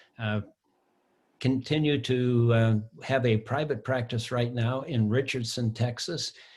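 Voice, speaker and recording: A man speaks in a somewhat breathy voice with very even loudness and fairly even intonation. The recording is very clean, with a silent background. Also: medium pitch for a man, fairly slow pace. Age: 70s. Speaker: board member, therapist. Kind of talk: casual chat.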